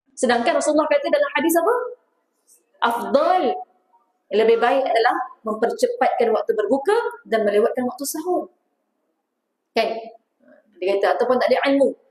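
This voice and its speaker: Audible room echo surrounds a woman with a high pitch and very wide pitch swings. She speaks at a moderate pace with long, frequent pauses. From Selangor, Malaysia. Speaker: religious teacher. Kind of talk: religious lecture.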